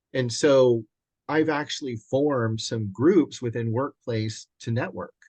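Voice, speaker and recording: His voice sits at a medium pitch, with ordinary pitch variation and a moderate pace. This man uses a normal speaking voice. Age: 60s. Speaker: commercial real estate agent and mentor. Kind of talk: casual interview. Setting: video call.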